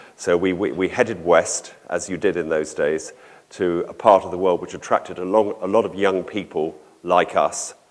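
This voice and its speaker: A man at a moderate pace, with a southern English accent. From southern England, London area. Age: 60s. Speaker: organic dairy farmer and conference speaker. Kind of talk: conference talk. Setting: conference hall with audience. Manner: halting, with many fillers.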